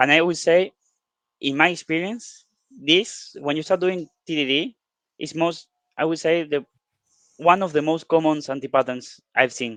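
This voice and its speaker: A man's fairly high-pitched voice with a Spanish accent, moderate pace, ordinary pitch variation and long, frequent pauses, in a dry, close sound with no echo. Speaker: software developer co-presenting workshop. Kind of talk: online workshop discussion. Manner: hesitant, with fillers.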